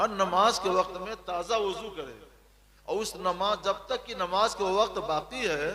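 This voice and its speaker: A man with high pitch speaks in a raised, projected voice. There is noticeable background noise. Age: 60s. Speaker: Islamic scholar. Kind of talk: religious Q&A.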